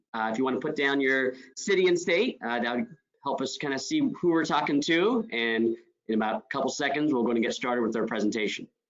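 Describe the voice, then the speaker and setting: A man talks at a very fast pace with lively intonation. His pitch sits in the medium range. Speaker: martial arts instructor. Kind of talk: webinar presentation. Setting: webinar.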